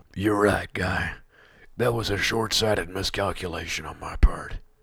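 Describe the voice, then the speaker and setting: The raspy voice shows big swings in loudness. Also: man, fairly low pitch for a man, moderate pace. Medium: comedy sketch. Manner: boastful, then sheepish.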